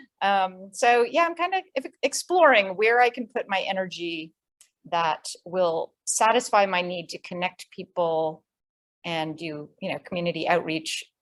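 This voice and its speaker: In a dry, close sound with no echo, a woman with an American accent uses an ordinary speaking voice at medium pitch and a fairly slow pace. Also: ordinary pitch variation. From New York. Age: 60s. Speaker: nonprofit worker, workshop participant. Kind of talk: casual chat.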